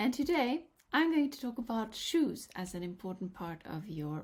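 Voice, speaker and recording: A woman speaks in a Norwegian accent, somewhat breathy. Her pitch swings very widely. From Norway. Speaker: color analyst. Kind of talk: vlog tutorial.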